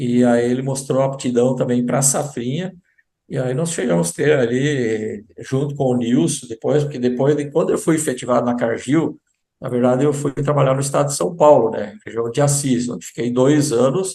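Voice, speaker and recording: At a moderate pace, a man speaks with a dark, mellow tone and a medium pitch. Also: ordinary pitch variation. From southern Brazil, German-speaking community. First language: German (speaking Portuguese). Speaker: agricultural sales representative. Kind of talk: interview.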